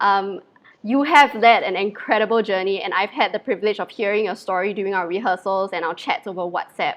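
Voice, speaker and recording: A woman at medium pitch with a Mandarin accent, at a fairly quick pace. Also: ordinary pitch variation. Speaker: livestream host. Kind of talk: live interview.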